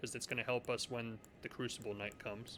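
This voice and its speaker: A man at a medium pitch talks at a fairly quick pace, his bright, sharp tone edged with vocal fry and his pitch moving in an ordinary way. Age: 40s. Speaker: gaming streamer. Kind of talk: live gameplay commentary. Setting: live stream.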